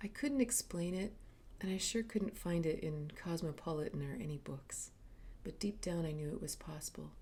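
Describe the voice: This woman's voice sits low in pitch and has a slightly mellow tone. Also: ordinary pitch variation, moderate pace.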